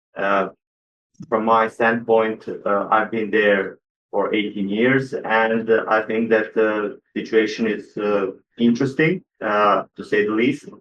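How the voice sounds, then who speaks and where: With a Croatian accent, a man talks at a very slow pace in a medium pitch and fairly even intonation. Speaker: electrical engineer. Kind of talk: panel introduction. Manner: hesitant, many fillers.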